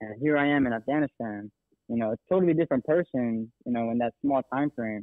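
Speaking at a fairly quick pace, a man uses a plain, everyday voice with an American accent, medium pitch and ordinary pitch variation. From Texas. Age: 20s. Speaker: army veteran turned real estate agent. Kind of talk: casual interview. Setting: phone call.

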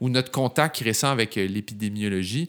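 A man with an ordinary speaking voice and medium pitch talks at a fairly slow pace. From Quebec. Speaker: podcast host, teacher. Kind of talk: casual interview.

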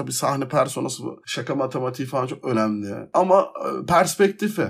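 Pitch leaps up and down enormously. Speech comes at a medium tempo. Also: man. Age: 20s. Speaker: comedian. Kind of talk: casual solo podcast monologue. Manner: animated.

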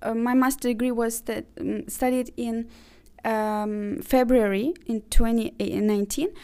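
This woman has a high-pitched voice and an Azerbaijani accent. The recording is very clean, with a silent background. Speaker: university international office manager. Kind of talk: interview. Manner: hesitant, many fillers.

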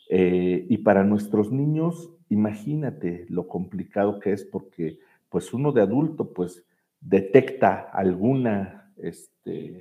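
A man speaks at a fairly low pitch. His intonation is lively. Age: 40s. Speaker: executive director of a children's home. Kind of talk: interview. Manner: hesitant, with fillers and repetitions.

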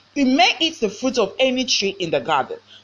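In a Ghanaian accent, a woman speaks with an animated tone and very wide pitch swings. Her pace is moderate. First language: Twi. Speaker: pastor. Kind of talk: sermon.

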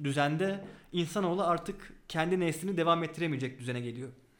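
High-pitched male speech with ordinary pitch variation, set in audible room echo. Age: 20s. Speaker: board game designer and research assistant. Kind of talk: interview. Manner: hesitant fillers.

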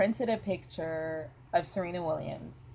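At a fairly slow pace, the speaker uses an ordinary speaking voice with lively intonation. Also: woman. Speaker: podcast host. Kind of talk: casual chat.

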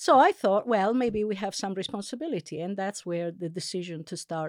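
The intonation is lively and the pace moderate. The recording is very clean, with a silent background. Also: woman. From Italy, Sardinian family. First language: Italian. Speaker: linguistics professor. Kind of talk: interview. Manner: hesitant, many fillers.

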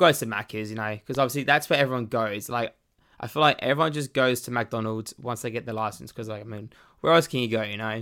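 On a very clean recording with a silent background, a man talks at a very fast pace in a bright, sharp tone with ordinary pitch variation. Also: medium pitch for a man. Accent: Australian. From Australia. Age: young. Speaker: podcast host. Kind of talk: casual solo monologue. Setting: home bedroom recording.

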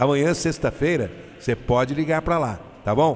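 Over noticeable background noise, a man speaks at a moderate pace in an animated tone with lively intonation. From Brazil, interior of São Paulo state. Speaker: religious radio host. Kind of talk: radio devotional program with prayer. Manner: animated, fervent.

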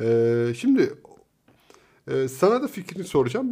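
Over a quiet background, a man talks at a moderate pace in a dark, mellow tone. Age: 40s. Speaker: podcast co-host. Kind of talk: casual chat. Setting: home recording.

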